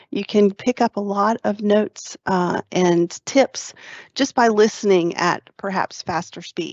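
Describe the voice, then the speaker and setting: Her medium-pitched voice moves at a fairly slow pace with ordinary pitch variation. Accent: Southern US. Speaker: tech trainer hosting webinar. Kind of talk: webinar presentation.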